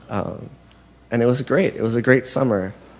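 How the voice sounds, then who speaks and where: The man's medium-pitched voice shows ordinary pitch variation and keeps to a moderate pace. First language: Spanish. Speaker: confirmation candidate. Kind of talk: testimony. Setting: church. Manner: halting.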